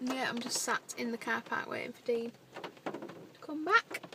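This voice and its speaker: A woman speaks at a fairly slow pace. Loud background noise runs underneath. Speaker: vlogger. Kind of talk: casual vlog chat. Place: car. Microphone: phone near.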